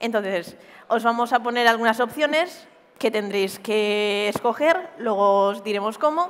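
At a fairly slow pace, a woman speaks with a fairly high pitch and lively intonation. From Spain, Murcia; Spain. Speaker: cybersecurity pentester; conference presenter. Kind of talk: conference talk. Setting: stage with audience. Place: stage. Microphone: headset.

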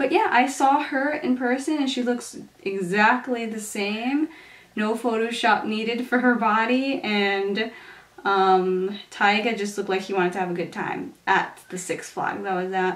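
Pitch varies in an ordinary way while the delivery stays fairly slow. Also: woman, fairly high pitch for a woman. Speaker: beauty vlogger / teacher; beauty vlogger, teacher. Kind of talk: makeup tutorial. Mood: relaxed, chatty. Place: home room.

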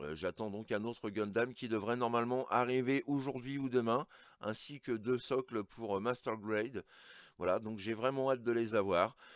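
A man speaks at a moderate pace with ordinary pitch variation, the sound dry with no echo and the background quiet. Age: 40s. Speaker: toy collector YouTuber. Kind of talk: unboxing review; casual vlog chat. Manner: hesitant, many fillers; enthusiastic. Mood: enthusiastic. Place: home room.

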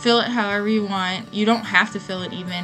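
Clear music plays in the background as the voice moves at a fairly quick pace. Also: woman. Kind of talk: tutorial voiceover.

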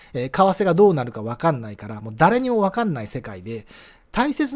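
This man speaks high for a man, at a fairly quick pace. His pitch swings very widely. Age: 50s. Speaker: early retiree vlogger. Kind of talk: solo monologue with slides. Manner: many filler hesitations.

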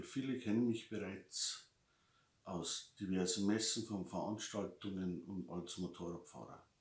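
Somewhat breathy, a man with a Lower Bavarian accent speaks at a fairly slow pace with ordinary pitch variation. Audible room echo surrounds his voice. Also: fairly low pitch for a man. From Lower Bavaria, Germany. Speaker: motorcycle magazine publisher. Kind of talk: casual unboxing talk to camera. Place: home room. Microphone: webcam.

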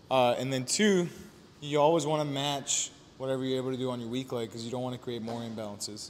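This man speaks with ordinary pitch variation. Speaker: fitness coach. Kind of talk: workout tutorial. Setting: gym. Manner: animated. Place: gym.

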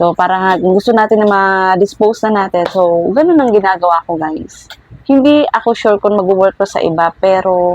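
A woman at medium pitch and moderate pace, with ordinary pitch variation, in a dry, close sound with no echo. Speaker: vlogger and small toy shop owner. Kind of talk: tutorial. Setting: indoors at home. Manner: speaking louder than usual.

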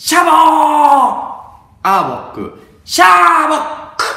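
A cartoonish character voice speaks at a high pitch and a very slow pace. There is a slight echo.

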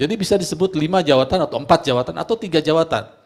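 A man talks at a very fast pace with vocal fry, his tone animated and his intonation lively. Behind him the background stays quiet. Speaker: preacher. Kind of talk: sermon. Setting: church. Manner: animated, emphatic preaching, rhetorical questions to congregation. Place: church.

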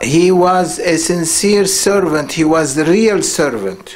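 A man speaks in a high voice. His pace is very slow. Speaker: religious teacher. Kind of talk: sermon. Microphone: studio mic.

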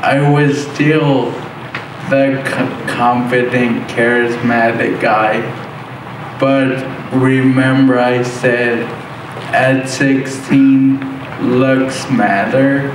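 A very slow man's voice, flat and monotone, at very even loudness, with long, frequent pauses, audible room echo, and noticeable background noise. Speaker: motivational speaker. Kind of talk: motivational speech. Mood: personal, humorous storytelling. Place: hall.

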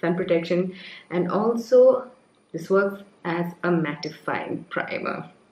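A woman speaks at a fairly slow pace. The room echo is audible. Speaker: beauty vlogger. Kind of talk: casual makeup tutorial chat. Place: home room.

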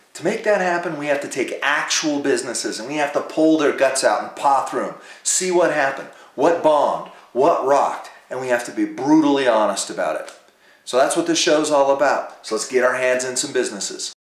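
Through audible room echo, a man talks fairly quickly with ordinary pitch variation and big swings in loudness. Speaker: show host. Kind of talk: presenter intro to camera. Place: home room.

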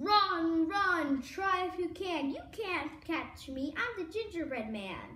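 A woman's bellowing put-on character voice, extremely high in pitch, at a fairly slow pace with hardly any pauses. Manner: roaring, taunting.

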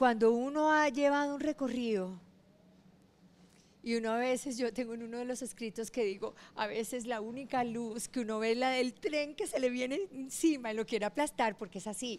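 A woman's high-pitched voice, moderate in pace, with ordinary pitch variation. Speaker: business founder. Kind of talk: interview.

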